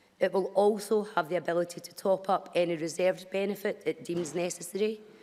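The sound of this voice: A woman's fairly low pitch, fairly quick pace, slightly mellow tone and fairly even intonation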